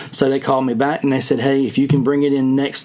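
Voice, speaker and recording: Over noticeable background noise, a man with a fairly high pitch and a strong Southern US accent speaks at a fairly quick pace. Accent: strong rural Southern, by his own account. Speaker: fishing podcast host. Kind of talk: casual chat.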